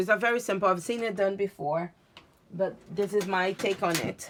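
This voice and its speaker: A woman speaks in a Portuguese accent with a medium pitch. Her pace is moderate and her pitch variation is ordinary. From Brazil / Portugal. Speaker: craft demonstrator. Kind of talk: tutorial. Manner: halting.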